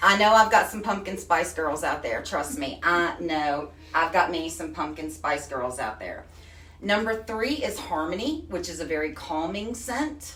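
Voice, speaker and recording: A woman with a Texan accent, animated and fairly low-pitched, with very wide pitch swings and big swings in loudness, at a fairly slow pace, over noticeable background noise and audible room echo. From Texas. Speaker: craft product retailer. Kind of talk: live stream demo.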